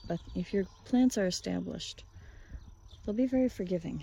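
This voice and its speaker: A woman speaks quietly. Her pace is fairly quick. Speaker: farmer and homesteading vlogger. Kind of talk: casual vlog narration. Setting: outdoors on a farm. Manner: quiet, keeping voice down.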